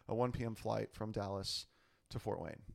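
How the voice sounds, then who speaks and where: This is a plain, everyday voice at a fairly quick pace with fairly even intonation. The recording is very clean, with a silent background. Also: man. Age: 30s. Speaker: podcast guest, Air Force veteran. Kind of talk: casual chat.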